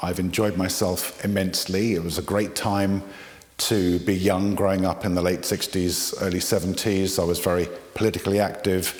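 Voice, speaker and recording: A man's very deep, low voice at a moderate pace, over noticeable background noise. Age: 60s. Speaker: interviewee. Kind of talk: talking to camera, personal story. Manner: hesitant, many fillers.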